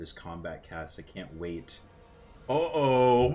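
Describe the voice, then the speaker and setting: Music in the background plays as a man speaks at a very slow pace with lively intonation. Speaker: gaming streamer. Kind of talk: live stream commentary. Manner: animated.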